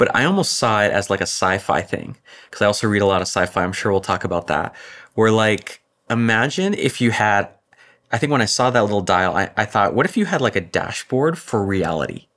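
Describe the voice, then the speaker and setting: A man with an American accent, fairly low in pitch, at very even loudness. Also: ordinary pitch variation, fairly quick pace. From US, California (Orange County). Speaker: author and productivity expert. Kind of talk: interview conversation.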